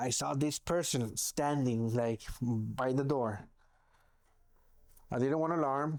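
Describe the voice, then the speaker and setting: Taking long, frequent pauses, a man at medium pitch speaks at a very slow pace with fairly even intonation. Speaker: law enforcement officer sharing paranormal stories. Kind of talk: casual chat. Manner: loud; halting, self-correcting.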